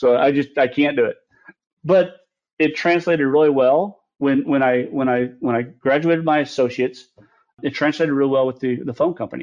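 A man with an American accent speaks at a moderate pace, his fairly high voice holding a fairly even intonation in an unremarkable speaking voice. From US Midwest, Lebanon, Missouri. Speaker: cybersecurity executive and military veteran. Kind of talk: interview.

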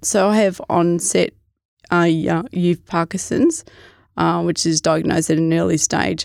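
Speaking with an Australian accent at a fairly slow pace, a woman is heard in a dry, close recording with no echo, very clean against a silent background. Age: 40s. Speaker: hiker living with Parkinson's disease. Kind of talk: casual interview.

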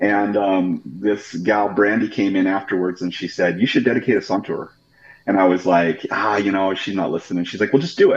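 Using an ordinary speaking voice with an American accent, a man talks at a fairly quick pace with fairly low pitch and ordinary pitch variation. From Idaho, Pocatello area. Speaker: pastor. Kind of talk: interview.

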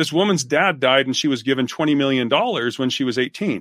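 With an American accent and a plain, everyday voice, a man talks at a fairly quick pace with lively intonation. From Utah. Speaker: business author and researcher. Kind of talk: casual interview.

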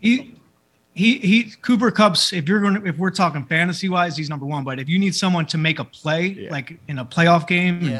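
With a Philadelphia accent, a man speaks at a fairly quick pace. His pitch is high. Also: lively intonation. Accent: Philadelphia American. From Philadelphia, US. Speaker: celebrity barber. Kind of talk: casual chat.

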